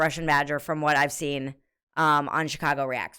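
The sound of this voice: A woman talks at a fast pace. Her tone is clear and smooth, yet also bright and sharp.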